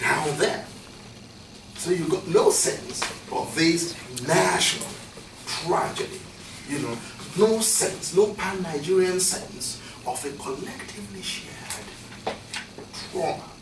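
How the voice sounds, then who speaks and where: Over noticeable background noise, a man with a high voice speaks very slowly, leaving long, frequent pauses, his pitch moving in an ordinary way. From Nigeria. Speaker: professor. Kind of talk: academic talk. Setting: lecture room with audience. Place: classroom. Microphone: camera far.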